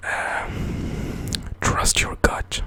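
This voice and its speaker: A man whispers against noticeable background noise. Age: 20s. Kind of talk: ASMR whisper ramble. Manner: whispered, soft-spoken.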